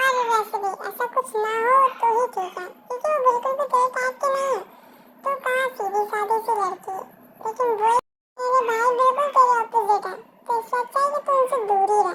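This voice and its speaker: A woman puts on a character voice, extremely high in pitch. She speaks at a fairly quick pace. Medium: audio drama. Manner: playful, outspoken.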